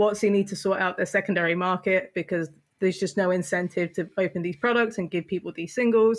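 Speaking at a very fast pace with a British accent and fairly even intonation, the voice comes through on a very clean recording with a silent background. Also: woman, medium pitch for a woman. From England. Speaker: co-host. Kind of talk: casual chat.

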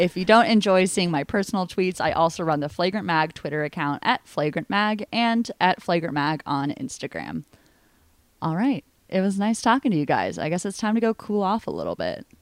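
Recorded very cleanly against a silent background, the sound is dry and close with no echo. A woman talks at medium pitch in an unremarkable speaking voice with lively intonation. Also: fairly quick pace. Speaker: podcast host. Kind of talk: casual chat.

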